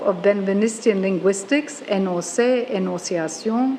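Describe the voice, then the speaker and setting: A woman talks in an Australian accent with ordinary pitch variation. Noticeable background noise runs behind her. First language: German. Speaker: professor. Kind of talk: lecture. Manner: formal.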